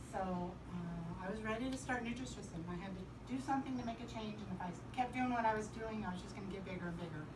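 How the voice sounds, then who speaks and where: Against noticeable background noise, a woman speaks very fast with ordinary pitch variation. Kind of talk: personal testimonial to a small group. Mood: earnest, upbeat at end. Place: home room. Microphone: camera far.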